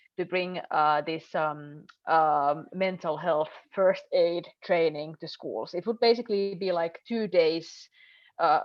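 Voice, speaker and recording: A woman talks at a very slow pace in a fairly low pitch. Her pitch varies in an ordinary way. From northern Finland. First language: Finnish. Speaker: member of European Parliament. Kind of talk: panel discussion. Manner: halting.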